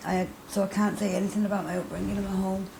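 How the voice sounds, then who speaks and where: A woman with a Mancunian accent talks at a fairly quick pace and medium pitch, with audible room echo and noticeable background noise. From Manchester, northern England (Middleton). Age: 30s. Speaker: interviewee, recovering addict. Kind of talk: interview testimony. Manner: hesitant, many fillers and repetitions.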